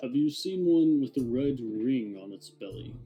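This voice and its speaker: A put-on character voice is delivered at a moderate pace. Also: man, medium pitch for a man. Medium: actual play. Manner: terse, guarded.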